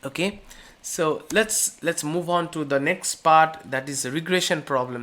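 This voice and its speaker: The speaker has an Indian accent. The pace is fairly slow. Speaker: course instructor. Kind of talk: lecture. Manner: halting, many fillers.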